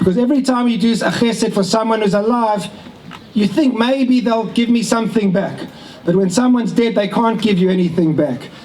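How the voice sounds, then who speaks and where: A man with a South African accent talks at a fairly quick pace and high pitch, with ordinary pitch variation and very even loudness, amid audible room echo and noticeable background noise. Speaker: family member giving a speech. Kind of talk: speech at a family ceremony. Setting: event with audience, relatives on video call.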